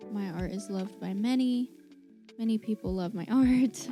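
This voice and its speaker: A woman's fairly high voice with music in the background. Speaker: spirituality and self-help vlogger. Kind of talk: reading affirmations aloud. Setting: poor-quality home mic recording.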